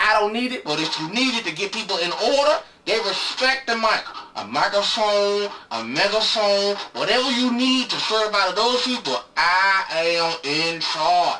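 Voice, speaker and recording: Noticeable noise sits behind the speech. The delivery keeps a moderate pace. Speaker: web show host. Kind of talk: comedic advice monologue. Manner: loud; animated.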